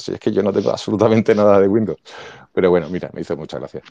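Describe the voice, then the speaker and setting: Talking at a very fast pace, a man uses a fairly low pitch, a dark, mellow tone and ordinary pitch variation. The sound is dry and close with no echo, against a quiet background. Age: 50s. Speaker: teacher and podcast co-host. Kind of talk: casual chat. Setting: online audio room.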